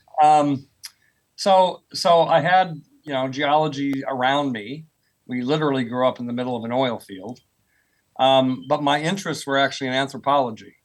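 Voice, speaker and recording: A man with an American accent and an unremarkable speaking voice talks at a moderate pace, his pitch fairly high with ordinary pitch variation. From US, rural Oklahoma. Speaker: professor of earth sciences. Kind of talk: podcast interview.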